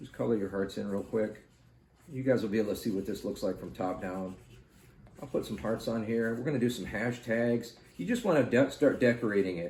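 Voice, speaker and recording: Soft-spoken and calm, a man talks at a fairly quick pace with medium pitch and ordinary pitch variation. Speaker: art tutorial youtuber. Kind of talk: tutorial.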